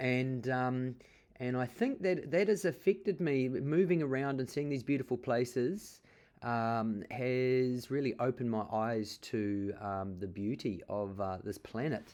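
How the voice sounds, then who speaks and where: A man in a New Zealand accent, medium in pitch, fairly slow, with lively intonation. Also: quiet background. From New Zealand (Auckland). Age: 40s. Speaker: artist. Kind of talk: interview monologue. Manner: halting, many fillers.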